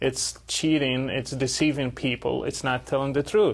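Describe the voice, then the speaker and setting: A man with an Arabic accent speaks at medium pitch and a moderate pace, his intonation fairly even. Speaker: interviewer. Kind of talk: interview.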